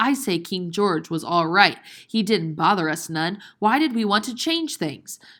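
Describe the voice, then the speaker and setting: This put-on character voice is female-sounding and shrill, at a medium pitch for a woman and a moderate pace. The recording is very clean with a silent background. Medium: read story. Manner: snappish, scolding.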